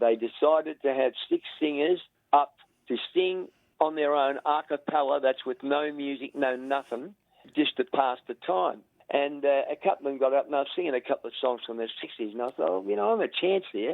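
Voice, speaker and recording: The speaker has an Australian accent, ordinary pitch variation and a fairly quick pace. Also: man, fairly high pitch for a man. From Australia, rural Victoria. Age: 70s. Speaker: veteran singer. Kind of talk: interview. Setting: phone call.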